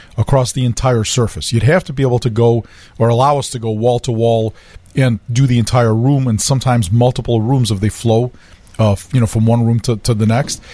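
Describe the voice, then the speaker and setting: A man of medium pitch speaks at a fairly quick pace in a dark, mellow, somewhat breathy tone with fairly even intonation. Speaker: flooring company executive. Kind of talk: expert advice on radio.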